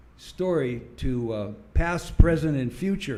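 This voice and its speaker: A man with an American accent at a very slow pace, lively intonation and audible room echo. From US West Coast, San Diego. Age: 70s. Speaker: church member giving testimony. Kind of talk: testimony. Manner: halting.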